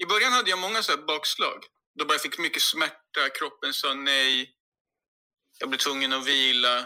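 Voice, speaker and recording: A bright, sharp tone with lively intonation at a fairly quick pace. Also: man. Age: 40s. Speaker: podcast guest. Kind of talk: casual chat.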